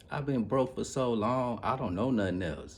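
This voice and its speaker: With an animated tone, a somewhat breathy man speaks amid audible room echo. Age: 40s. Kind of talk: casual monologue vlog. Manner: animated, repetitive.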